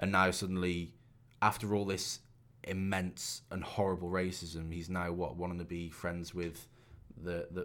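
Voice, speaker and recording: A man's very deep, low voice in monotone, flat intonation at a moderate pace, on a very clean recording with a silent background. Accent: Shropshire. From England, Shropshire. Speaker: podcast co-host. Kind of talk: casual chat.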